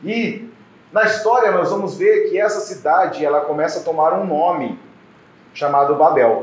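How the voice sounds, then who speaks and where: A man's high voice at a moderate pace with lively intonation, amid noticeable background noise and audible room echo. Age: 40s. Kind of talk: sermon. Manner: halting, with fillers.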